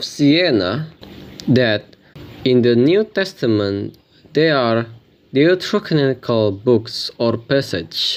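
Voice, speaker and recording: Lively intonation with a non-native accent. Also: man. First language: not English. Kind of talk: religious commentary talk to camera.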